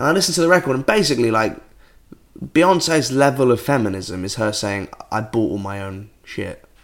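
Speaking at a fairly quick pace with a British accent, a man sends his pitch through very wide swings. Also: medium pitch for a man. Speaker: podcast co-host. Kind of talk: casual chat.

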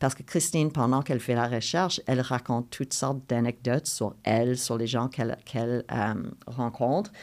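A woman speaks at a moderate pace in a very deep, low pitch. The recording is very clean, with a silent background. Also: ordinary pitch variation. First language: English (speaking French). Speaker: playwright. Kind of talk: interview conversation. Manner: halting with repetitions.

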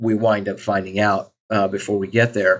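Here a man has a normal speaking voice and an American accent. He talks at a moderate pace against a quiet background. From US Midwest (Southwest Missouri). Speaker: think tank scholar. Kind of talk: casual chat.

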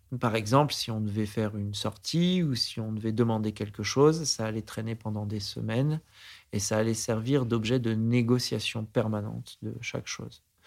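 A man's mid-pitched voice, with typical pitch movement and an even, medium tempo, comes across on a very clean recording with a silent background. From France, Aix-en-Provence area. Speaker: investor. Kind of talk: interview. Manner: halting.

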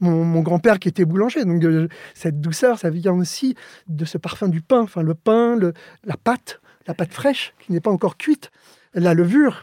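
On a very clean, dry and close recording with no echo and a silent background, a man speaks at a high pitch and a fairly slow pace with ordinary pitch variation. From Spain, Alicante; raised in Paris suburbs from age 7. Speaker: architect. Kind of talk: interview. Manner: halting, frequent repetitions.

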